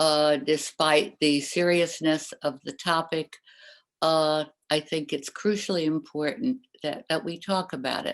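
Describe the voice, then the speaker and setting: A woman with a very deep, low voice speaks at a fairly slow pace with ordinary pitch variation over a quiet background. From Austria, Vienna. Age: 80s+. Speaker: Holocaust survivor. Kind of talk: testimony. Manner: hesitant, many fillers.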